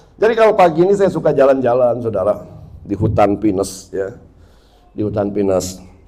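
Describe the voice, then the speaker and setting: A man talks at a medium pitch and a fairly quick pace. His pitch swings very widely, and the room echo is audible. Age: 60s. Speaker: pastor. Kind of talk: sermon.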